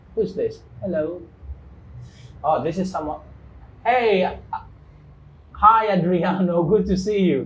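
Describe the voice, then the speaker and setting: A man's high voice at a fairly slow pace, with long, frequent pauses, ordinary pitch variation and audible room echo. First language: Kikongo. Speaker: English teacher, live show host. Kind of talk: live-stream interview. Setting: studio, live stream.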